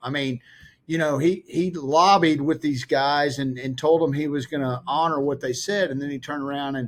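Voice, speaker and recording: This is an ordinary speaking voice, a man's, at a fairly high pitch with ordinary pitch variation. The recording is very clean, with a silent background. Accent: American. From Texas. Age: 60s. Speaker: investment advisor and podcast host. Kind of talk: interview conversation.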